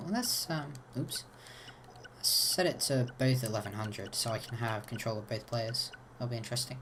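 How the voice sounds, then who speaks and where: A man with a medium-pitched, somewhat breathy voice talks at a moderate pace. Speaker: gaming video creator. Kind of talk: tutorial. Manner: casual, hesitant with fillers.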